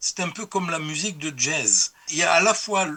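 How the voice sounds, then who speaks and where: This man talks at a fairly slow pace. His voice sits high, and its pitch varies in an ordinary way. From France. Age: 70s. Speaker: historian of religions, professor emeritus. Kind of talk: interview.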